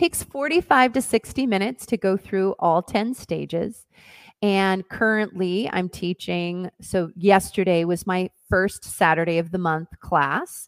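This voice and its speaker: Speaking in a plain, everyday voice with an American accent, a woman talks at a fairly slow pace and medium pitch, the sound dry and close with no echo. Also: ordinary pitch variation. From US Northwest, Oregon. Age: 40s. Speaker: dance teacher and wellness coach. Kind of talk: interview.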